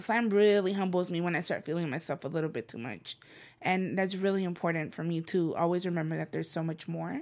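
A woman with a Spanish accent at a very fast pace, fairly low in pitch with ordinary pitch variation and an animated tone, in a very clean recording with a silent background. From El Salvador, raised in Los Angeles. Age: 30s. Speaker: spoken word poet and author. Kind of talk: casual interview.

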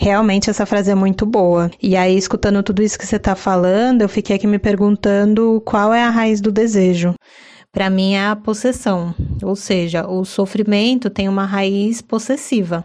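Against a quiet background, a woman of medium pitch speaks in a dark, mellow tone with fairly even intonation. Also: moderate pace. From São Paulo city, Brazil. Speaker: podcast co-host. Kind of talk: casual chat.

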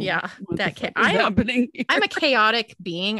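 A woman with a California Valley accent speaks with ordinary pitch variation in a dry, close sound with no echo. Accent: California, Valley-girl style. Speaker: podcast co-host; teacher. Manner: casual, animated, frequent swearing.

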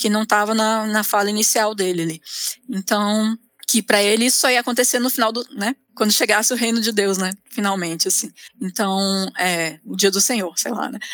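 A plain, everyday voice from a woman at a fairly high pitch, with fairly even intonation and a moderate pace. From Brasília, Brazil. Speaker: theologian. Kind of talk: interview.

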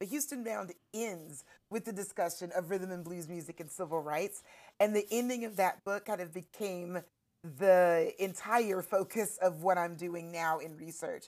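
A woman with an ordinary speaking voice, medium pitch, ordinary pitch variation, big swings in loudness and a moderate pace, in a very clean recording with a silent background. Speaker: history professor. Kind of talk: casual chat.

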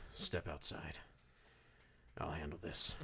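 A man's put-on character voice, pitched very deep and low. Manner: commanding.

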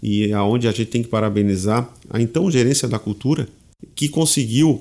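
On a very clean recording with a silent background, a man at medium pitch with ordinary pitch variation has a plain, everyday voice. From southern Brazil (Tubarão, Santa Catarina). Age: 40s. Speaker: head of municipal culture foundation. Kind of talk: interview.

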